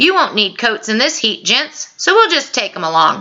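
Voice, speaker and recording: Using a put-on character voice, a woman speaks at a moderate pace with very wide pitch swings. Her loudness stays very even. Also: fairly high pitch for a woman. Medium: read story. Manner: gruff, mocking.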